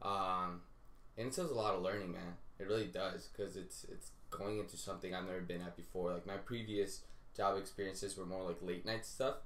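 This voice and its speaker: The speech moves at a fairly quick pace with audible room echo. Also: man, fairly low pitch for a man. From Colombia, raised in the US from age four. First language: Spanish. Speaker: TV writing assistant. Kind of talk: casual chat. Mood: relaxed, animated storytelling. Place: home room. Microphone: camera far.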